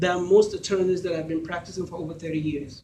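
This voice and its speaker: A man speaks in a Nigerian accent at a high pitch. His tone is dark and mellow. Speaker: lawyer and judicial candidate. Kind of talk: campaign speech. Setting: candidates event with audience. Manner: formal.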